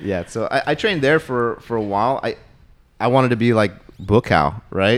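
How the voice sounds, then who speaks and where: A man talks in a normal speaking voice at medium pitch and a moderate pace, with lively intonation. The recording is very clean, with a silent background. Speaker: martial arts practitioner. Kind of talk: casual chat interview.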